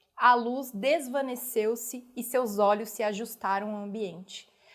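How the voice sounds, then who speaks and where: This woman's voice sits at a fairly high pitch with ordinary pitch variation. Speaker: storyteller. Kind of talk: audiobook reading.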